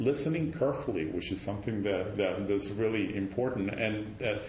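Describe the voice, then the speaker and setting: There is audible room echo and noticeable background noise as a man talks at a fairly quick pace with ordinary pitch variation. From Cuba, Havana. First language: Spanish. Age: 60s. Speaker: meteorology professor. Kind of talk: personal sharing in group talk. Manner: halting, many fillers and restarts.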